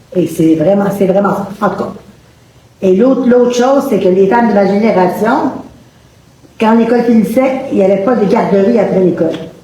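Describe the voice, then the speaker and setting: With a Quebec accent, a woman of medium pitch speaks at a moderate pace with ordinary pitch variation, very even loudness and long, frequent pauses, amid noticeable background noise and audible room echo. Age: 70s. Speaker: audience member asking a question. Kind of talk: public debate question. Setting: public event with audience, no microphones.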